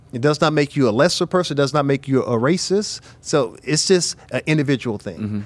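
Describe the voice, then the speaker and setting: In an American accent, a man talks at a fairly quick pace with lively intonation and a fairly high pitch, an unremarkable speaking voice. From US Midwest. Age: 50s. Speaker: bishop and church leader. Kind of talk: casual panel discussion.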